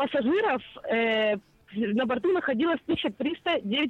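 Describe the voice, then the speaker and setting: Her voice is high, with very wide pitch swings. The woman speaks at a very slow pace. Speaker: radio correspondent. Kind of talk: live phone report. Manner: lively, upbeat.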